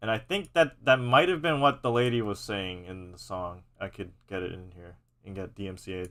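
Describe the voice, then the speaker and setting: With an American accent, a man talks at a moderate pace in a fairly low pitch, using lively intonation and big swings in loudness. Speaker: content creator live-streaming music editing. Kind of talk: casual live stream commentary. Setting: live stream. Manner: halting, many repetitions and false starts.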